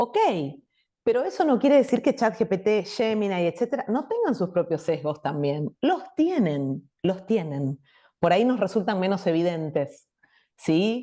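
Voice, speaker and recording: Speaking in a Buenos Aires accent at a fairly slow pace, a woman with a medium pitch and a dark, mellow tone makes very wide pitch swings. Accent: Buenos Aires Argentine Spanish. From Buenos Aires province, Argentina. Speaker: invited speaker on education and AI. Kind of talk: talk answering audience question.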